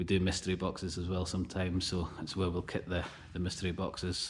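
Under light background noise, a man with a very deep, low pitch speaks at a moderate pace. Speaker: small online reseller. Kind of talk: casual vlog chat. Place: factory. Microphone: phone near.

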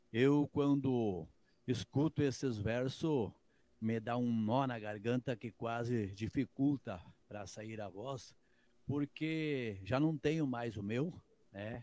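A man speaks very slowly at a medium pitch with a dark, mellow tone. The sound is dry with no echo, and his pitch varies in an ordinary way. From Rio Grande do Sul, Brazil (Santa Rosa); Rio Grande do Sul, Brazil. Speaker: musician; guest. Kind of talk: casual interview. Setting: video call. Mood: emotional, sincere. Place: home room. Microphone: handheld.

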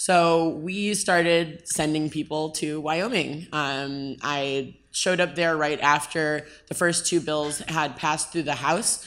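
A woman speaks at a very slow pace. Her pitch is very deep and low, and her intonation is fairly even. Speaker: blockchain advocacy group co-founder. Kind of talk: conference panel talk. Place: stage. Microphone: handheld.

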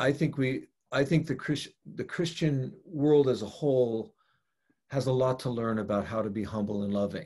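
Over a quiet background, a man speaks at a moderate pace with lively intonation and long, frequent pauses. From US West Coast, San Francisco; California. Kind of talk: casual interview conversation. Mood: earnest, reflective. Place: home room. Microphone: video call.

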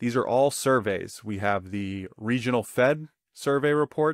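With a dry sound and no echo, a man speaks at a moderate pace over a quiet background. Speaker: economics educator. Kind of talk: tutorial. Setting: studio recording with slides. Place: home room. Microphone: webcam.

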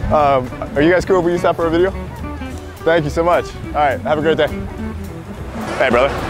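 Over clear background music, a voice with ordinary pitch variation talks very fast in a dry sound with no echo. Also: man, fairly high pitch for a man. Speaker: comedy prank video creator. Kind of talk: casual talk with strangers. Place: beach.

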